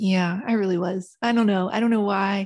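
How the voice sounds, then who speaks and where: On a very clean recording with a silent background, a woman speaks at a medium pitch in an Appalachian accent with fairly even intonation. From West Virginia Appalachia. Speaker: author. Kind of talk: casual interview chat.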